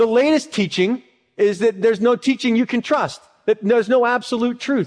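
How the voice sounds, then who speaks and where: Against a quiet background, a man with an extremely high pitch talks at a moderate pace, with ordinary pitch variation and very even loudness. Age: 30s. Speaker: pastor. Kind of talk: sermon.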